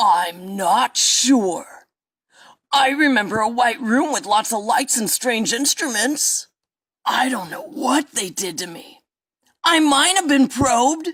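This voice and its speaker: A put-on character voice with a fairly high pitch delivers the lines at a fairly slow pace. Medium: audio drama. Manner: rambling, earnest, aggrieved.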